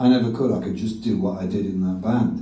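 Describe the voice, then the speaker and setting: Audible room echo surrounds speech delivered fairly quickly. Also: man. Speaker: rock guitarist. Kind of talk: live on-stage interview. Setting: stage with audience.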